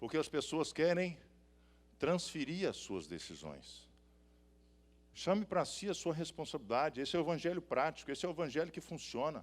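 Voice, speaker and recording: A man's fairly high pitch with vocal fry and ordinary pitch variation, at a moderate pace with long, frequent pauses, on a very clean recording with a silent background. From Minas Gerais, Brazil (Belo Horizonte). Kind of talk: sermon. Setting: stage with audience. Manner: animated.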